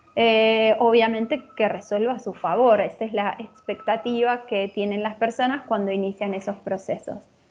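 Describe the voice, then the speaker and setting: Flat, monotone speech from a woman, almost without pauses. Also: fairly high pitch for a woman, moderate pace. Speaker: lecturer. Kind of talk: lecture.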